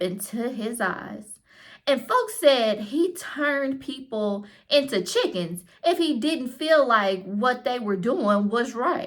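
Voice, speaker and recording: A woman drawls very slowly in a put-on character voice with a Southern US accent. Her pitch is fairly high and her intonation lively. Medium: read story. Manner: folksy, drawling.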